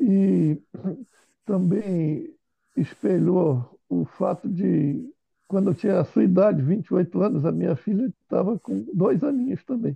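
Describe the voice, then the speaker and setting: Speaking at a fairly slow pace, this voice has a dark, mellow tone and lively intonation, with a dry, close sound and no echo. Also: man, high pitch for a man. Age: 60s. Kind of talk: casual chat.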